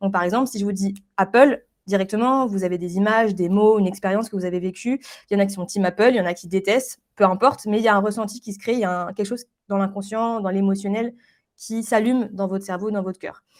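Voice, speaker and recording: A woman talks at a very fast pace on a very clean recording with a silent background. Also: medium pitch for a woman, fairly even intonation. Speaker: branding specialist. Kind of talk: interview.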